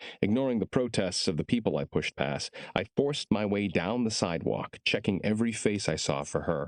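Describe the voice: Lively intonation marks this plain reading aloud.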